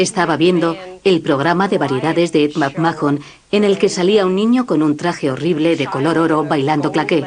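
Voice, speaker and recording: At a moderate pace, a woman with an ordinary speaking voice talks in a fairly low pitch. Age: 40s. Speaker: daughter caring for mother with Alzheimer's. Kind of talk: documentary narration.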